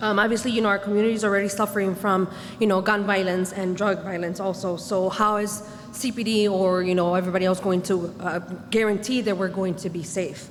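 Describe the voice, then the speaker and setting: Speaking with an American accent at a fairly quick pace, a woman keeps a monotone, flat intonation amid audible room echo and noticeable background noise. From Chicago. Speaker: resident speaking at community meeting. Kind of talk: public comment at community meeting. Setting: community meeting.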